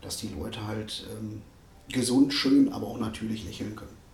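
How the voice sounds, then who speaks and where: A man's voice with fairly even intonation, noticeable background noise and audible room echo. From Ruhr area, Germany. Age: 40s. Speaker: dentist. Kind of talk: casual interview. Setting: dental practice.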